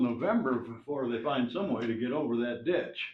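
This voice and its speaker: Talking at a medium speed, a man is heard with noticeable echo from the room. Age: 70s. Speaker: resident speaking at public comment. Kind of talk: public comment at council meeting. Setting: town council meeting. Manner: halting, many fillers.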